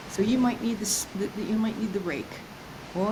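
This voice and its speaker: Lively in intonation and fairly high in pitch, a woman speaks amid audible room echo and noticeable background noise. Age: 60s. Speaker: self-esteem coach. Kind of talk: interview.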